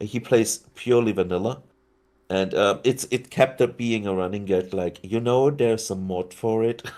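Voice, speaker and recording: This voice has a dark, mellow tone and a slight German accent, with ordinary pitch variation at a moderate pace. The recording is very clean, with a silent background. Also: man, medium pitch for a man. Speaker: city-building video creator, podcast guest. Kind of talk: casual chat.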